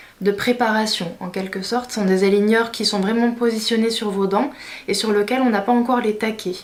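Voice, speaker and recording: A woman speaks at a fairly high pitch and a fairly quick pace, in a monotone with flat intonation. Background noise is noticeable. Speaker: beauty/lifestyle vlogger. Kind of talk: vlog tutorial. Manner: hesitant, many fillers.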